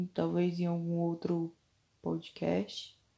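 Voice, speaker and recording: Her voice is fairly low and dark, mellow in tone, with very wide pitch swings. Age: 20s. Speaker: podcaster. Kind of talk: personal monologue.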